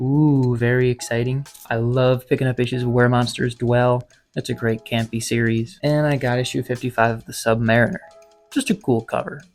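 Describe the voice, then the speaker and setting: Over music in the background, a man whispers at a moderate pace. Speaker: comic collector vlogger. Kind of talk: casual vlog haul. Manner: whispering.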